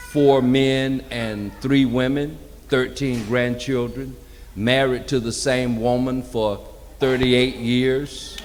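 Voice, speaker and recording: A man's medium-pitched, flat, monotone voice at a very slow pace, with audible room echo and noticeable background noise. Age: 60s. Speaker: community engagement coordinator. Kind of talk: panel talk. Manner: conversational.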